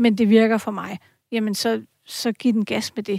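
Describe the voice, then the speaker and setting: Very clean audio of a woman, dry and close with no echo, against a silent background. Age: 40s. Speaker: journalist and columnist. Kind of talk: casual chat. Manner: halting, many fillers.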